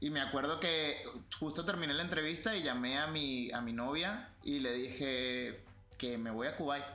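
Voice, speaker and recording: Amid noticeable background noise and audible room echo, a man speaks at a moderate pace and fairly high pitch with ordinary pitch variation and very even loudness. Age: 30s. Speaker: podcast guest, host's older brother. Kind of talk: casual chat.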